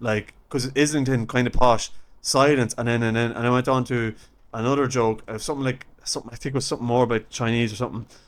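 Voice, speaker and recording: A man with an Irish accent talks very fast at a medium pitch, his intonation flat and monotone. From Ireland. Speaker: stand-up comedian. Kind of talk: podcast interview anecdote.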